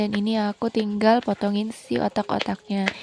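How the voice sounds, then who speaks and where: This woman talks at a fairly quick pace in a fairly high pitch, heard in dry, close sound without any echo. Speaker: home cooking vlogger. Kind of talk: cooking voice-over narration. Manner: casual, chatty.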